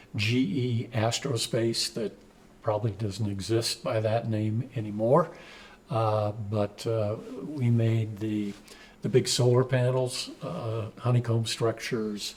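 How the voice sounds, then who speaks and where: The voice is somewhat breathy, with fairly even intonation and a very slow pace. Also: man, medium pitch for a man. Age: 70s. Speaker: community organization president, retired executive. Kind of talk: interview answers. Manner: halting, many fillers.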